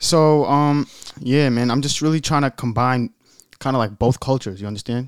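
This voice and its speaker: This man has a normal speaking voice at a medium pitch, with ordinary pitch variation and a moderate pace. The sound is dry and close with no echo, on a very clean recording with a silent background. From Europe, raised in Staten Island, New York. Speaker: rapper. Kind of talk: casual chat. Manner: casual, slangy.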